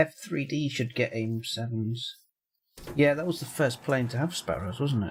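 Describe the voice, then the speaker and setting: A man's voice, fairly high in pitch, sounds somewhat breathy. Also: ordinary pitch variation, moderate pace. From northern England, near Middlesbrough. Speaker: gamer streamer. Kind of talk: casual chat. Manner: halting.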